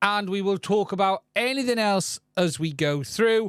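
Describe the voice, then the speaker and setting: Dry and close with no echo on a very clean recording with a silent background, a man with a high pitch speaks at a very slow pace with lively intonation. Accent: British. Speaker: tech channel host. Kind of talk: live stream news and Q&A.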